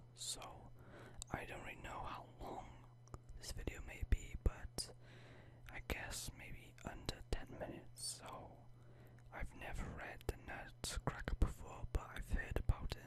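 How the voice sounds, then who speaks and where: A man whispers at a fairly slow pace, with long pauses that come often. His loudness swings widely. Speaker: ASMR creator. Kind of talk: casual talk to camera. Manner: whispered.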